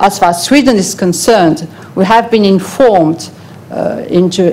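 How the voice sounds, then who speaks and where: A woman speaks at a moderate pace with a medium pitch and ordinary pitch variation, over noticeable background noise. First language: not English. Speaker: European Commission official presenting to an advisory panel. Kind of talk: formal presentation at a public hearing.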